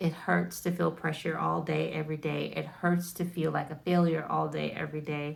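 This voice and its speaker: At a moderate pace and with hardly any pauses, a woman talks in an American accent. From United States. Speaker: wellness content creator. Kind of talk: casual educational talk to camera. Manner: casual, filler-heavy.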